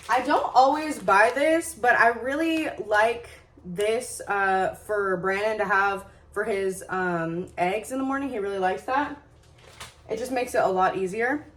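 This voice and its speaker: Over noticeable background noise, a woman speaks. Her pitch is fairly high and her intonation lively. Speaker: lifestyle vlogger. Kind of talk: casual vlog. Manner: fast; filler-heavy, casual.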